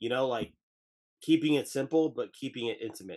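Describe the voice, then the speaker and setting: A man talks with an American accent. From New Jersey. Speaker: podcast co-host. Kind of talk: casual interview chat.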